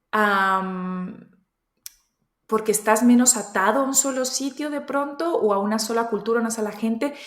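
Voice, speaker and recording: Speech at a very slow pace with ordinary pitch variation carries audible room echo. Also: woman. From Spain and Colombian family, raised across countries. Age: 30s. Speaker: entrepreneur. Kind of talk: interview. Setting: studio.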